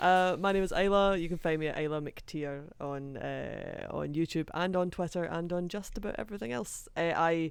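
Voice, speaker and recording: Speaking in a Scottish accent, a woman with fairly low pitch and ordinary pitch variation keeps a moderate pace with hardly any pauses, in a very clean recording with a silent background. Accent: deep Scottish. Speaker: anime video creator. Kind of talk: casual chat.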